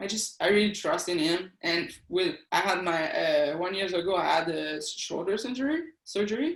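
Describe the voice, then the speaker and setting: A woman with a French Canadian accent, medium pitch, lively intonation and a moderate pace. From eastern Quebec, Canada. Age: 40s. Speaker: athlete and police officer. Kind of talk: interview. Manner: halting.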